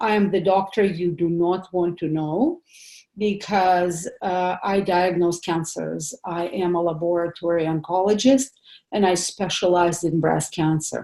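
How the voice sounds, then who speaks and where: A woman with a non-native accent speaks in a dark, mellow tone. Her intonation is fairly even and her pace fairly slow. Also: fairly low pitch for a woman. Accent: foreign accent, noticeable. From Soviet Union. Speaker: pathologist doctor giving a health seminar. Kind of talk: seminar presentation. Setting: home office, online seminar. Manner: hesitant, many fillers.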